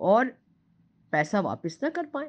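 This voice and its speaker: The surroundings are quiet. A woman's pitch swings very widely as she speaks. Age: 70s. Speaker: doctor and medical teacher. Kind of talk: talk giving advice.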